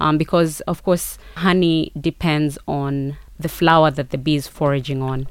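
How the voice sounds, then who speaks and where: In a Kenyan accent, a woman with a very deep, low voice speaks at a moderate pace with monotone, flat intonation. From Kenya, Kericho (Rift Valley). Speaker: marketing consultant and entrepreneur. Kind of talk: interview.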